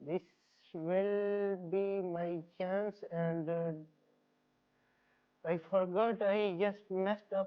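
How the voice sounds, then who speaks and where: Speaking in a Pakistani accent, a woman talks very slowly at a medium pitch. Her intonation is monotone and flat, with long, frequent pauses. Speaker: aspiring YouTuber, vlogger. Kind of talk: casual vlog to camera. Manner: halting, repeats and self-corrects.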